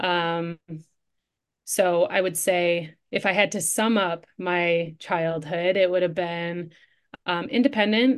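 A woman with an Upper Midwest accent speaks very slowly in a fairly low voice with ordinary pitch variation. The background is quiet. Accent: Upper Midwest American. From Michigan, Detroit suburbs. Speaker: coach and entrepreneur. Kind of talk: interview conversation.

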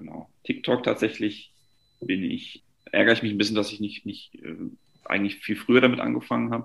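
A man talks at a fairly quick clip, his loudness swinging widely and his speech broken by long, frequent pauses. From Franconia, Germany (Nuremberg). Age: 20s. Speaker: luxury real estate agent. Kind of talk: casual interview.

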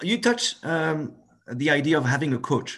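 A man with a French accent against a quiet background. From France. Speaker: podcast host. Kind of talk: scripted intro; interview.

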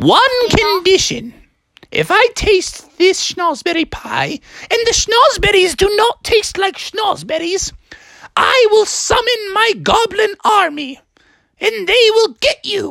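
A female-sounding voice uses a put-on character voice at an extremely high pitch. The pace is fairly slow. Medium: read story. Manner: haughty, then delighted.

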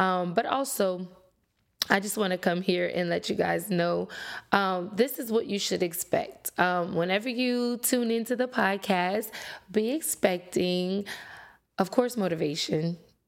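A woman speaks with a Louisiana accent. Her pace is fairly slow. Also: medium pitch for a woman, ordinary pitch variation. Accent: Louisiana Southern US. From Louisiana, Lafayette. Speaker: podcast host, motivational speaker. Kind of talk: motivational monologue. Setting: solo recording to camera. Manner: casual with fillers.

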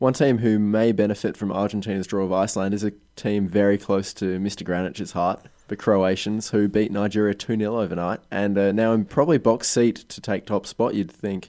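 Against a quiet background, a man with an Australian accent speaks at a fairly quick pace in a fairly low pitch, with a dark, mellow tone and fairly even intonation. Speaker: podcast host. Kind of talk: casual chat. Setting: studio.

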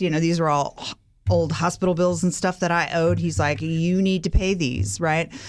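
A woman with an American accent, a normal speaking voice, fairly low pitch, ordinary pitch variation and a moderate pace, on a very clean recording with a silent background. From California. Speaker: recovered alcoholic. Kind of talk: interview testimony.

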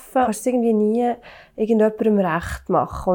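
Here is an unremarkable speaking voice from a woman with a fairly high pitch. Her intonation is fairly even. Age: 30s. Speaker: working mother. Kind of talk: casual discussion.

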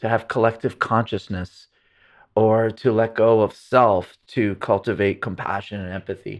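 A man speaks at a medium pitch and a moderate pace. It is a plain, everyday voice. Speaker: neuroscientist and pain researcher. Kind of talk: casual interview conversation.

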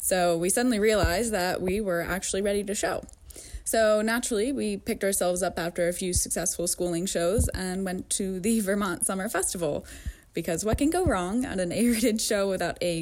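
Talking at a fairly quick pace, a woman with an American accent has an unremarkable speaking voice at medium pitch, with ordinary pitch variation. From upstate New York. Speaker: amateur rider, listener. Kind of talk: recorded anecdote.

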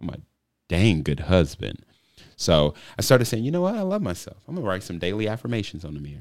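An animated, fairly low-pitched man at a very fast pace, with big swings in loudness. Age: 30s. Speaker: husband and father discussing family life. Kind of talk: casual chat.

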